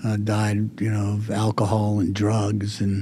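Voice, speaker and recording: A man with an American accent talks at a fairly slow pace and fairly low pitch, his tone dark and mellow and somewhat breathy. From southern California. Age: 60s. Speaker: retired insurance executive. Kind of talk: interview. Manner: halting.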